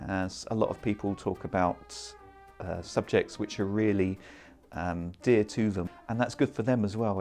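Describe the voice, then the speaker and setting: A man is speaking. Music plays in the background. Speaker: comedy performance poet. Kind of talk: interview answer.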